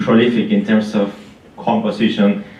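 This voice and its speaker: With an Argentine accent and fairly even intonation, a man speaks amid noticeable background noise and audible room echo. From Argentina. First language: Spanish. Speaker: concert pianist. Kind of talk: spoken introduction at a concert. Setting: stage with live audience in a library. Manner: halting, many fillers and restarts.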